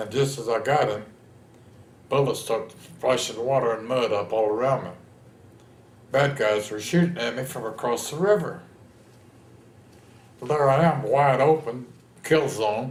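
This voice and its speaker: With a Texan accent and a somewhat breathy, medium-pitched voice, a man talks at a moderate pace with ordinary pitch variation and long, frequent pauses, in audible room echo. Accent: Texan American. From Texas, San Antonio. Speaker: war veteran. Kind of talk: oral history interview. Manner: animated storytelling.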